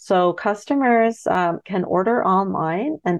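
A woman with a Canadian accent and an ordinary speaking voice, medium in pitch, with ordinary pitch variation. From Ontario, Canada. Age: 30s. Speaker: farmer. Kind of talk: radio interview.

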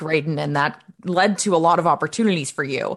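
A woman talks at a fairly quick pace with a fairly low pitch. Hers is an ordinary speaking voice. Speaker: podcast co-host. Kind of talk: interview and ad reading.

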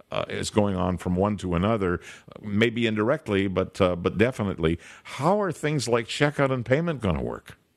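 At a moderate pace, a man with a plain, everyday voice, a fairly low pitch and lively intonation is heard in a very clean recording with a silent background. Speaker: radio host. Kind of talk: radio interview.

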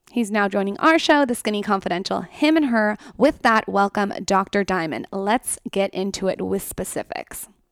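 A woman's medium-pitched voice at a moderate pace with few pauses and ordinary pitch variation, in a dry, close sound with no echo

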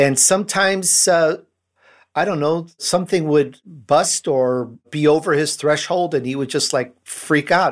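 A man uses lively intonation on a very clean recording with a silent background. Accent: slight Chicago. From Chicago. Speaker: podcast host and entrepreneur. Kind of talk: casual interview.

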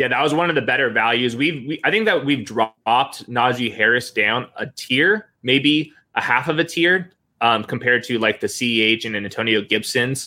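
With ordinary pitch variation, a man talks in a medium pitch. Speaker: fantasy football analyst. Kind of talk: casual chat. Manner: fast.

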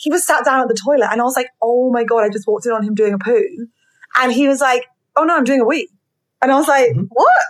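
A woman talks at a very fast pace in a high voice with lively intonation. Her loudness stays very even. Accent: British. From Britain. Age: 30s. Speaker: podcast host. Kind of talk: casual interview chat. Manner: animated.

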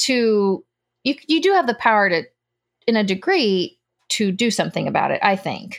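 With an American accent, a woman speaks at a moderate pace in a fairly high pitch, using lively intonation and long, frequent pauses. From United States, Cuban parents. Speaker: homesteader and former nurse. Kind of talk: casual chat.

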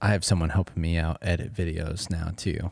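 In a very clean recording with a silent background, a man speaks with very deep, low pitch and fairly even intonation. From Colorado, US. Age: 20s. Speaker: professional beatboxer and YouTuber. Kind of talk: casual chat. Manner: halting.

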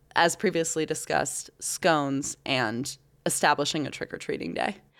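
Speaking at a fairly slow pace with ordinary pitch variation, a woman uses an ordinary speaking voice in a very clean recording against a silent background. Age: 30s. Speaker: local news podcast host. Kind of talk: casual chat.

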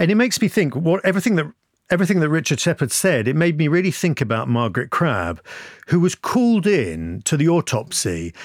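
A man with a British accent speaks at a fairly high pitch with very wide pitch swings but very even loudness. The recording is very clean, with a silent background. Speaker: podcast presenter. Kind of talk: casual chat.

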